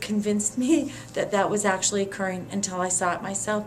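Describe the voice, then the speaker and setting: A woman speaks at medium pitch and a fairly quick pace with ordinary pitch variation. Noticeable background noise runs underneath. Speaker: former community organizer. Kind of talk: interview answer.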